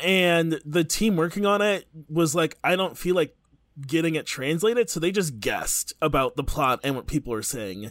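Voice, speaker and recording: A man with a plain, everyday voice at a fairly high pitch talks at a moderate pace with lively intonation, in a very clean recording with a silent background. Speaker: podcast co-host. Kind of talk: casual chat.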